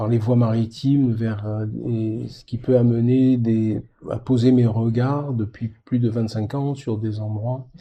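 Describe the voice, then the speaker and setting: Very slow and somewhat breathy, this man's medium-pitched voice has a dark, mellow tone and monotone, flat intonation. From Mediterranean France. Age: 70s. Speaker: polar expedition sailor. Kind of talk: interview. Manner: halting.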